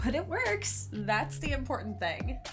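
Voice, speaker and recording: Against background music and audible room echo, a woman speaks at a moderate pace. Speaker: doll customizer and video creator. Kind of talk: tutorial.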